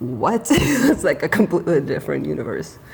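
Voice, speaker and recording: Against noticeable background noise, a woman with a Russian accent talks at a moderate pace in a fairly low pitch. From Ukraine. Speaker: YouTube co-host. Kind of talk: casual reaction chat. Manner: animated.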